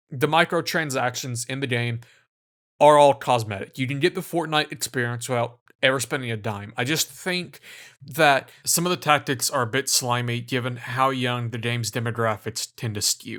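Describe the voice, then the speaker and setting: An American accent with ordinary pitch variation at a moderate pace, on a very clean recording with a silent background. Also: man, medium pitch for a man. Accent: American, self-described hick. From United States. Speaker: gaming video essayist. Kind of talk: video essay narration. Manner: casual, sarcastic.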